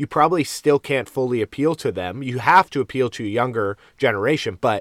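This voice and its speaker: At a moderate pace, a man with an unremarkable speaking voice talks at a medium pitch with ordinary variation, captured on a very clean recording with a silent background and a dry, close sound with no echo. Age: 30s. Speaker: sports podcast co-host. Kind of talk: casual chat.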